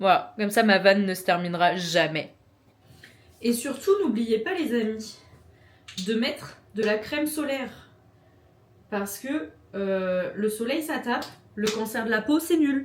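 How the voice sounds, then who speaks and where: A woman with a Norman accent and a fairly high pitch speaks at a very slow pace with lively intonation and long, frequent pauses. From France, Normandy. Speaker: vlogger. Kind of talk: casual vlog talk to camera. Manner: casual, filler-heavy (euh, genre).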